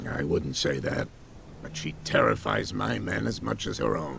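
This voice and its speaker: A man's raspy put-on character voice, very deep and low, at a moderate pace over clear background noise. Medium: video game. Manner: genial, measured.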